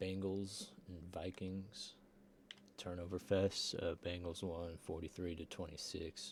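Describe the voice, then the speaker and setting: A man with a very deep, low voice speaks at a fairly slow pace, somewhat breathy and monotone, his intonation flat. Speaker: sim football league recap host. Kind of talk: casual sports recap.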